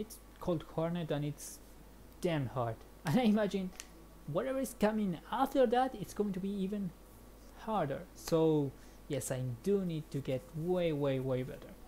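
A woman with a Spanish accent and a dark, mellow tone, fairly low in pitch, somewhat breathy, at a moderate pace with very wide pitch swings and long, frequent pauses. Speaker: gaming streamer. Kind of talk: let's play commentary. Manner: animated.

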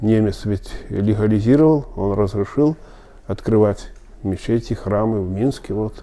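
A man with a fairly low pitch and a dark, mellow tone speaks at a fairly slow pace with ordinary pitch variation. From Belarus, Smilovichi near Minsk; Belarus. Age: 70s. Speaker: Belarusian Tatar elder interviewee; interviewee. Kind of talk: oral history interview. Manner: halting, many filler sounds. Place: office.

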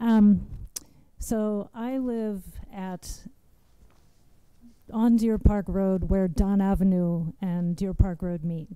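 A woman speaks at a slow pace with a medium pitch and a dark, mellow tone. She is soft-spoken, with fairly even intonation and a clear, smooth tone.

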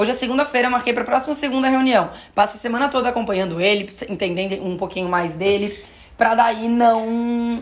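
The tone is animated, with ordinary pitch variation. The pace is fairly quick. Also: woman, fairly high pitch for a woman. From Florianópolis, southern Brazil; Santa Catarina, Brazil. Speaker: podcast host and influencer-management teacher; podcast host. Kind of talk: casual chat. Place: studio.

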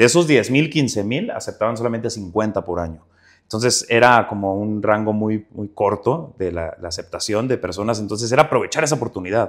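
A man with a Juárez accent, talking at a fairly quick pace. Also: medium pitch for a man, ordinary pitch variation. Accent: northern Mexican, Juárez accent kept. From northern Mexico, Ciudad Juárez, Chihuahua. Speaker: actor. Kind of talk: interview.

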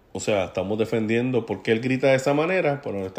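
A man speaks at a fairly quick pace in a dark, mellow tone. His medium pitch shows ordinary variation. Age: 40s. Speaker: podcast host, political commentator. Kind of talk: solo commentary monologue. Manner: casual, conversational with fillers.

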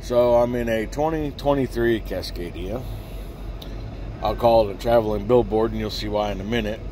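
Over light background noise, a man speaks at a moderate pace in a dry sound with no echo. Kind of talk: casual vlog chat. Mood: relaxed, amused. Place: car. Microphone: phone near.

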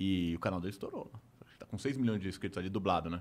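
Ordinary pitch variation in a man's very deep, low voice, delivered at a very fast pace. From Brazil. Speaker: YouTuber. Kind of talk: casual chat. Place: studio. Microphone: studio mic.

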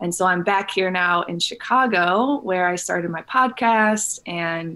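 Talking in an American accent, a woman lets her pitch vary in an ordinary way. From Illinois, US Midwest. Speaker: wellness entrepreneur and coach; podcast guest. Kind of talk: casual interview. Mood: warm, upbeat. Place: home room. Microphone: studio mic.

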